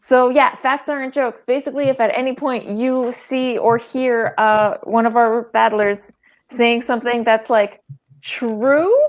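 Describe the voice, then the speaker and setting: Speaking at a fairly slow pace with a non-native accent, a woman uses a high pitch and fairly even intonation. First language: not English. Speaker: game show co-moderator. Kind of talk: live online comedy show moderation.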